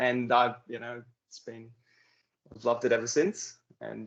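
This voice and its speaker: A man speaks with an Australian accent. He leaves long, frequent pauses. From Queensland, Australia. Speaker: euphonium soloist, air force musician. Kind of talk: casual interview.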